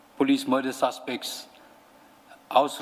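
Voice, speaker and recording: A man talks at a fairly slow pace while noticeable background noise carries on behind him. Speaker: police officer testifying at inquiry. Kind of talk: testimony.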